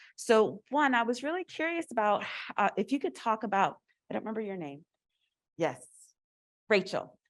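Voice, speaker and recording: Loud and fairly high-pitched, a woman speaks at a moderate pace with very wide pitch swings and long, frequent pauses against a quiet background. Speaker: audience member asking questions. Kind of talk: audience question.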